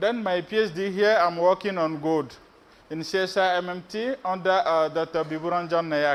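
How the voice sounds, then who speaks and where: A man with a West African accent, high-pitched, with fairly even intonation. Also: moderate pace. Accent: French-speaking West African. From Benin, West Africa. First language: French. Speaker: PhD researcher, conference speaker. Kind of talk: conference presentation. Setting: stage with audience. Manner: hesitant, many fillers.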